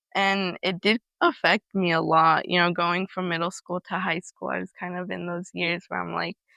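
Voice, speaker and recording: A woman with a Spanish accent, fairly low pitch, vocal fry, a bright, sharp tone and monotone, flat intonation, in a dry, close recording with no echo and a quiet background. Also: moderate pace. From California, US. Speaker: interviewee sharing family immigration story. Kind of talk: interview testimony. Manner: casual, hesitant with fillers.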